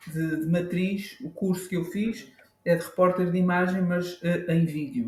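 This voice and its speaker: Speaking in an Azorean accent, a man with a high pitch keeps a fairly slow pace and fairly even intonation. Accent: Azorean Portuguese, kept. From Azores, Faial island. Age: 40s. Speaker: professional photographer. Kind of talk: casual interview. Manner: halting, many repetitions and fillers.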